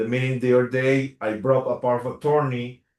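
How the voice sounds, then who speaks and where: A man speaks at a moderate pace and a medium pitch with a Spanish accent. The background is quiet. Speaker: HOA attorney. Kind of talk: Q&A in a community meeting. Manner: halting, many fillers.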